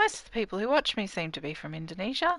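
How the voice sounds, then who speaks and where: A woman with an Australian accent speaks in a fairly high voice at a fairly quick pace. Her pitch makes very wide swings. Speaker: gaming streamer. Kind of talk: casual gameplay livestream commentary. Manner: chatty, talking to chat viewers.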